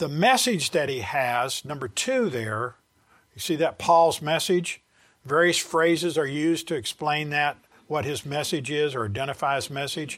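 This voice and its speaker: A man with a Southern US accent, fairly slow delivery and lively intonation on a very clean recording with a silent background. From US South. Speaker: Bible teacher. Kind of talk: Bible study lecture. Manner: halting.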